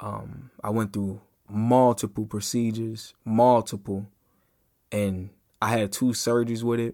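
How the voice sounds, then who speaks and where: A dark, mellow tone with monotone, flat intonation is heard on a very clean recording with a silent background. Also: man, medium pitch for a man. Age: 20s. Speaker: podcast host. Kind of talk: personal monologue. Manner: halting.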